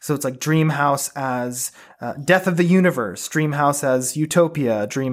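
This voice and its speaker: Here is a man speaking at a moderate pace in a normal speaking voice. His pitch varies in an ordinary way. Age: 20s. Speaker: host's son, book recommender. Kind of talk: casual chat.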